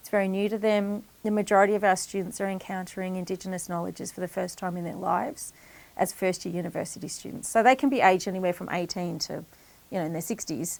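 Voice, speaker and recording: Speaking very fast in an Australian accent, a woman at medium pitch shows ordinary pitch variation and big swings in loudness. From Echuca, Victoria, Australia. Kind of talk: interview answer.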